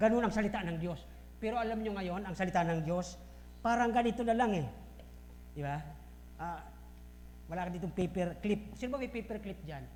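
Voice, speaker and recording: The speech moves at a fairly quick pace but breaks into long, frequent pauses. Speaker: pastor. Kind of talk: sermon. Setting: church. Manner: loud; forceful.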